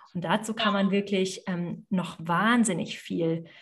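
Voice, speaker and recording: A woman speaks fairly slowly in a somewhat breathy voice. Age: 30s. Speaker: yoga teacher and business mentor. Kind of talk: interview conversation.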